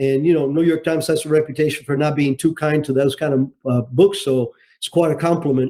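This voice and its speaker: A man's dark, mellow, fairly high voice in a Cuban-American accent, with fairly even intonation. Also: fairly quick pace. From Cuba, raised in Miami. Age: 70s. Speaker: retired intelligence officer and author. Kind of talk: interview. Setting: podcast interview.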